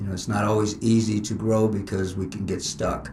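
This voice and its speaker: Amid noticeable background noise and audible room echo, a man with an American accent speaks fairly quickly in a fairly low voice with fairly even intonation. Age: 60s. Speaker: martial arts instructor. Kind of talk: interview.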